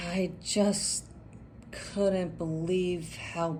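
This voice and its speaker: Very slowly and with fairly even intonation, a woman speaks in a somewhat breathy, fairly low voice, with audible room echo. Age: 60s. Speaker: cosmetic surgery patient. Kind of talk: interview. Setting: clinic follow-up visit.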